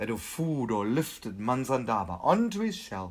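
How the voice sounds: What you hear is a natural reading voice.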